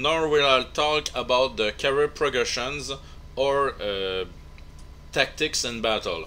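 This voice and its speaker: The speaker has a non-native accent and a bright, sharp tone. Speech comes at a very slow pace with ordinary pitch variation. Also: man, fairly high pitch for a man. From Quebec, Canada. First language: French. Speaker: video game tutorial maker. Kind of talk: game tutorial narration.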